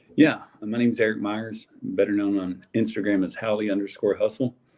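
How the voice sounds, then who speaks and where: A man with a strong Southern US accent, dark and mellow in tone, at a fairly quick pace with ordinary pitch variation. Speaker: sports card collector. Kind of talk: casual chat.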